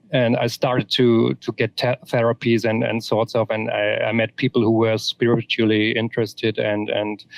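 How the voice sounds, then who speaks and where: A man at a medium pitch with a German accent, moderate pace, monotone flat intonation and hardly any pauses. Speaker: author. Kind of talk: interview. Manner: halting, many repetitions.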